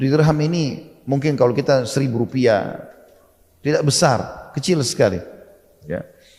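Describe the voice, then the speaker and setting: A man speaks at a fairly high pitch and a moderate pace with ordinary pitch variation. His tone is dark and mellow, and his voice is somewhat breathy. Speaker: Islamic preacher. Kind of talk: Islamic sermon (ceramah) retelling a historical story. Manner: explanatory, conversational.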